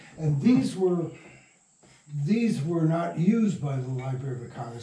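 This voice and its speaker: There is audible room echo around a man's fairly high voice. He speaks at a moderate pace with lively intonation. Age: 80s+. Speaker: radio drama writer and producer. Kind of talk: interview. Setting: at his home. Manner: halting.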